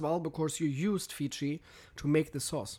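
A man speaks with a fairly high pitch. The recording is very clean, with a silent background. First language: German. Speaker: podcast host. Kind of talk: casual chat. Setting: studio.

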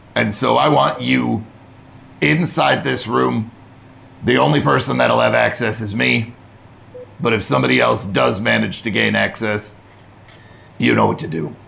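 A man puts on a raspy character voice, very deep and low, with very wide pitch swings, a moderate pace, long and frequent pauses, and clear background noise. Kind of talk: military. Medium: actual play. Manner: curt, commanding.

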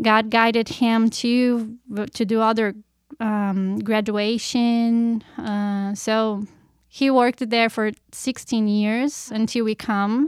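In a very clean recording with a silent background, a woman with a Portuguese accent speaks at a very slow pace, with a fairly high pitch and monotone, flat intonation. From Brazil, Curitiba. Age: 30s. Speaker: missionary. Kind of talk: testimony.

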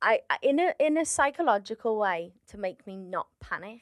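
A woman speaks with a Liverpool accent and lively intonation. The sound is dry and close, with no echo. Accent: Liverpool (Scouse), noticeable to audiences. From Liverpool, England. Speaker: stand-up comedian. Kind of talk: casual chat.

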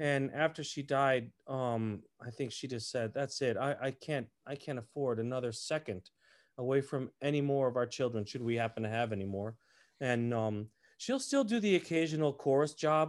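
A man's plain, everyday voice with an American accent, medium pitch, ordinary pitch variation and moderate pace, in a very clean recording with a silent background. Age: 50s. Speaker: opera tenor. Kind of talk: casual chat.

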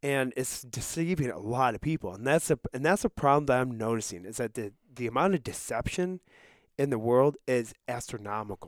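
A man with an American accent talks at a fairly quick pace in an unremarkable speaking voice, medium in pitch with lively intonation. The recording is very clean, with a silent background and a dry, close sound with no echo. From Russia. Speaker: Bible school student. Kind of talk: casual chat. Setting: studio.

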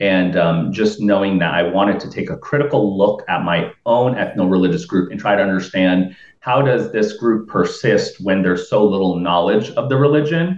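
This man has an unremarkable speaking voice with an American accent. His pitch is fairly low, his intonation lively, and his pace moderate. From Florida, Tampa Bay area. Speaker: researcher. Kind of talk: casual chat.

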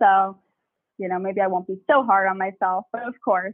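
Speaking at a moderate pace with an American accent, a woman uses an ordinary speaking voice. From US, Long Island, New York. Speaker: business founder. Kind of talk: casual interview.

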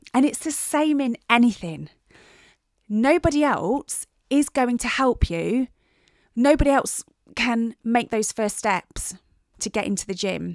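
A high-pitched woman's voice with an English accent, long and frequent pauses, a dry, close sound with no echo, and a very clean recording over a silent background. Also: lively intonation, fairly slow pace. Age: 40s. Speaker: personal trainer and podcast host. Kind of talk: casual solo chat.

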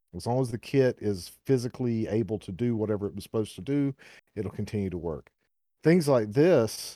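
A fairly low-pitched man with a Southern US accent and a dark, mellow tone at a fairly quick pace, on a very clean recording with a silent background. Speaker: podcast host. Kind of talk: casual chat. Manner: rambling, filler words.

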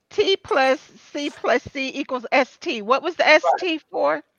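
Her pitch swinging very widely, a woman speaks. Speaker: podcast co-host, former athletic assistant. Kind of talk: casual chat.

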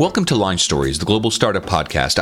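A man talks at a fairly quick pace with very wide pitch swings, music playing in the background. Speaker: podcast host. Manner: scripted, measured delivery.

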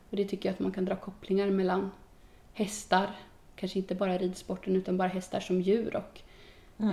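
A woman talks at a fairly quick pace and medium pitch, her tone dark, mellow and somewhat breathy. Long, frequent pauses break up her speech. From Sweden, Östergötland (Boxholm). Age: 20s. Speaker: youth politician. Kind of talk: casual interview. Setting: on location.

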